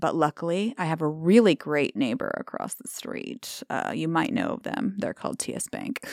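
A woman's fairly low voice with an American accent and vocal fry, very wide pitch swings, big swings in loudness, a moderate pace, hardly any pauses, and a dry, close sound with no echo on a very clean recording with a silent background. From Omaha, Nebraska, US Midwest. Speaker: small shop owner. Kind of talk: interview conversation. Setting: studio.

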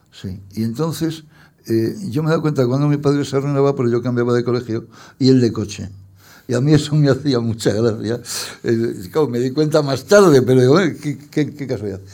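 A man's dark, mellow tone at medium pitch, with ordinary pitch variation, a fairly quick pace and audible room echo. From Spain, Madrid. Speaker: poet and journalist. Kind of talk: public interview. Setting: stage with audience.

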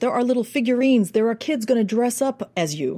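In a very clean recording with a silent background, a woman with an American accent speaks at a fairly quick pace, her fairly high, somewhat breathy voice animated in tone and lively in intonation. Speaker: accent and dialect coach. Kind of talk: interview.

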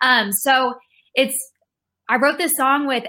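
A woman with an American accent talks at a moderate pace in a bright, sharp tone. The recording is very clean with a silent background. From Texas, Rockwall near Dallas. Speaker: singer-songwriter. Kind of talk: interview.

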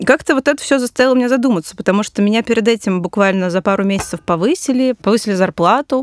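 Lively intonation comes at a very fast pace with hardly any pauses, in a dry, close sound with no echo. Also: woman, fairly high pitch for a woman. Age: 30s. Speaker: financial journalist. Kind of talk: casual chat. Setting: studio.

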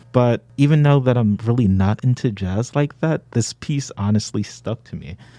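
A man with an American accent and a normal speaking voice talks at a moderate pace and medium pitch, with ordinary pitch variation and a dry, close sound with no echo. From Brooklyn, New York. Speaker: social work undergraduate student. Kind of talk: casual chat.

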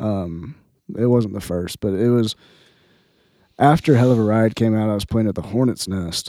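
With an American accent, a man speaks at a moderate pace in a fairly low voice with a dark, mellow tone. His pitch varies in an ordinary way, and he takes long, frequent pauses. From Southern Indiana. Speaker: country singer-songwriter. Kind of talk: casual interview chat.

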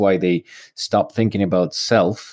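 Using an ordinary speaking voice, a man talks at a moderate pace and a fairly low pitch. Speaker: podcast host, veterinary industry professional. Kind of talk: casual interview.

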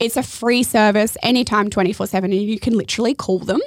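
A woman's fairly high voice in an Australian accent, monotone and flat in intonation, on a very clean recording with a silent background. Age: 30s. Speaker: podcast host. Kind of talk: casual interview chat.

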